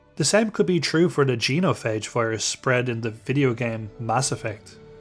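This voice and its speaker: Music plays in the background. The voice moves at a moderate pace with lively intonation. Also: man, medium pitch for a man. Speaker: gaming video host. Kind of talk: video essay narration.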